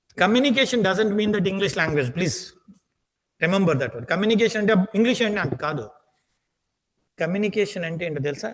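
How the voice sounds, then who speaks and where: Speaking with a Telugu accent, a man keeps a moderate pace and takes long, frequent pauses. His pitch is high and his intonation lively. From India, Andhra Pradesh (Srikakulam). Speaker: aptitude trainer. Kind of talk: lecture. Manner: repetitive, emphatic.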